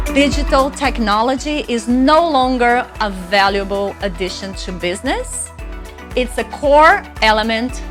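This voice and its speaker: A woman with a Brazilian accent talks at a fairly slow pace over music playing in the background. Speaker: public speaker, marketing strategist. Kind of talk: workshop presentation.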